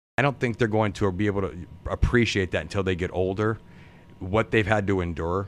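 A man with an American accent speaks at a fairly quick pace in an unremarkable speaking voice. His pitch is fairly low and his intonation fairly even. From US Midwest, Youngstown area, Ohio. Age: 50s. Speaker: auto worker and podcaster. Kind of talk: casual interview chat. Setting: live-streamed recording.

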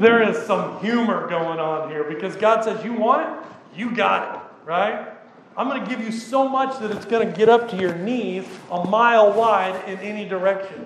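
A man with a high pitch talks at a moderate pace with ordinary pitch variation, amid audible room echo and noticeable background noise. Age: 40s. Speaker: pastor. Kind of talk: sermon. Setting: church. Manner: casual.

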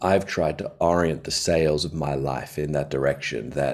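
A man's very deep, low voice with vocal fry. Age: 40s. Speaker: pastor. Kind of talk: casual chat. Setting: video call.

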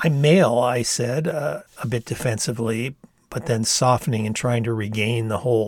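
The speaker uses an unforced reading voice. Pitch moves up and down in an ordinary way.

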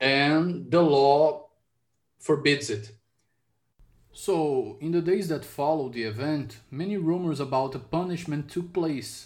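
In a Portuguese accent, a man speaks at a fairly slow pace, his fairly high voice showing ordinary pitch variation. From Brazil. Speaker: podcast host. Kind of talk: interview. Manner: halting.

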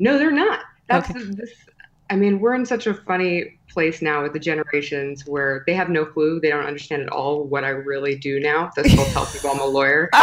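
A woman talks fairly quickly with lively intonation and a very deep, low pitch. Noticeable background noise runs underneath. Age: 30s. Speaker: personal branding expert and podcast host. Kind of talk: interview.

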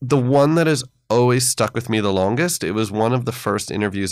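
A man speaks with an American accent at a fairly quick pace, his pitch varying in an ordinary way. He has an unremarkable speaking voice. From United States. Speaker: history professor. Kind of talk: interview. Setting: studio.

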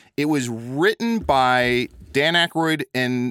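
Lively intonation marks a plain, everyday voice, heard in a very clean recording with a silent background and a dry, close sound with no echo. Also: man. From US Midwest, small-town Illinois. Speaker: podcaster and improv performer. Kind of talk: casual chat.

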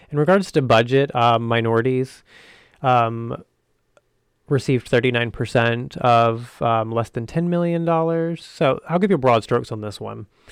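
With an American accent, a man has a plain, everyday voice of medium pitch, speaking at a moderate pace with ordinary pitch variation. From US South. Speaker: video podcast host, actor and filmmaker. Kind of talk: solo video commentary. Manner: casual, many filler ums.

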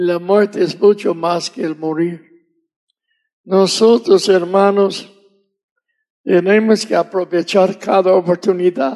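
A man with an English accent speaks at a high pitch with fairly even intonation. His pace is very slow, broken by long, frequent pauses. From US South. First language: English (speaking Spanish). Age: 80s+. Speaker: missionary preacher. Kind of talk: sermon.

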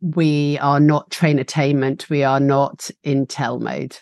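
A woman speaks in a very deep, low pitch with an English accent. The sound is dry and close with no echo, over a quiet background. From UK. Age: 40s. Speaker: facilitator and trainer, founder of a facilitation school. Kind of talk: casual interview. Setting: video call. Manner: animated, passionate.

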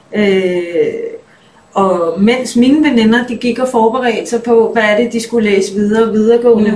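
A woman with a fairly high voice talks at a fairly slow pace. Audible room echo and noticeable background noise fill the recording. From Denmark. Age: 30s. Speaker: musician. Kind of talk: interview.

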